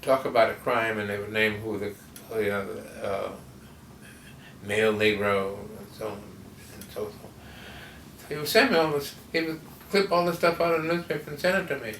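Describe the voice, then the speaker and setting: A man with an American accent talks at a fairly quick pace in a medium pitch, with very wide pitch swings. He leaves long, frequent pauses amid noticeable background noise. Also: big swings in loudness. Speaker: cartoonist. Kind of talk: interview answer. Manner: hesitant, halting.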